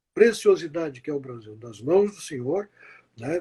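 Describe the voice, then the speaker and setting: Here a man speaks at a moderate pace with ordinary pitch variation. His voice is somewhat breathy, with a dark, mellow tone. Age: 70s. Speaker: journalist. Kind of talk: closing remarks in interview. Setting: Instagram live. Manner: formal, earnest.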